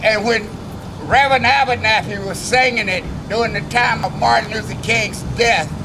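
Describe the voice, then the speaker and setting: Amid noticeable background noise and audible room echo, a man with a high voice speaks at a moderate pace in fairly even intonation. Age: 70s. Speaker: civil rights veteran. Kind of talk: protest speech. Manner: rousing.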